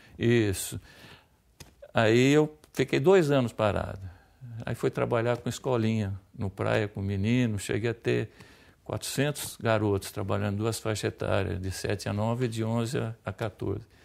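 Over a quiet background, a man with a fairly low pitch talks at a fairly slow pace, leaving long, frequent pauses. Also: ordinary pitch variation. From interior of São Paulo state, Brazil. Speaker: former football player. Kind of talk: interview. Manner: halting, repeats words. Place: studio. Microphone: lapel.

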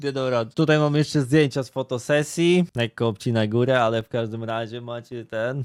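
A man's unremarkable speaking voice at a fairly quick pace, with hardly any pauses. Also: medium pitch for a man, ordinary pitch variation, dry, close sound with no echo. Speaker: streamer commenting on internet drama. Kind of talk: casual reaction commentary. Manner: casual, filler-heavy.

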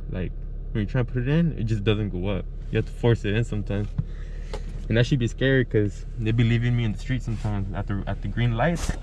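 Over noticeable background noise, a man talks at a very fast pace with ordinary pitch variation in a dry sound with no echo. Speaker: barber vlogger. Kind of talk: casual vlog chat. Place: car. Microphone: phone near.

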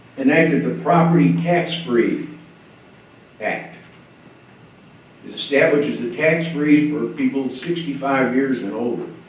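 The speech comes at a fairly slow pace with long, frequent pauses and ordinary pitch variation. Noticeable background noise and audible room echo are present. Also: man, fairly high pitch for a man. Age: 80s+. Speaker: public commenter, retired Navy veteran. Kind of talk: public comment at county meeting. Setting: county commission meeting room. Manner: formal.

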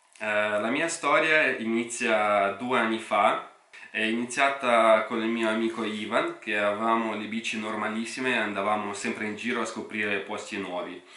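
Amid audible room echo and noticeable background noise, a man talks at a moderate pace and medium pitch with fairly even intonation. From Russia. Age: 30s. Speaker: YouTuber and e-bike entrepreneur. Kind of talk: radio interview; vlog.

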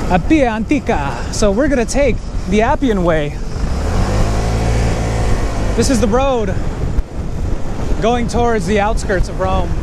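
Long, frequent pauses break up speech at a fairly slow pace. Loud background noise runs underneath. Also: dry sound with no echo. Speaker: moto vlogger. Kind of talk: casual vlog chat. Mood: excited, slightly nervous. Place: motorbike.

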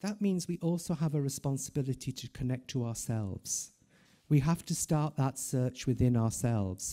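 Lively intonation and a dark, mellow tone come through clearly against a quiet background. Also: man. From Ireland. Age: 50s. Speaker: palliative care professor. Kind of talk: conference talk. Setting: stage with audience. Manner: slow. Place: hall. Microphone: podium.

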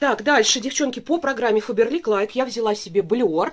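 A woman talks at a very fast pace. Her pitch shows ordinary variation. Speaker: beauty product reviewer. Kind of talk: casual vlog chat. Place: home room. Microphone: camera far.

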